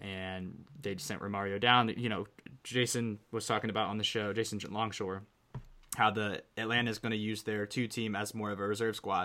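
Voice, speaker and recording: With an American accent, a man speaks at a fairly quick pace in a bright, sharp tone and monotone, flat intonation. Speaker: soccer podcast host. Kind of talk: casual chat.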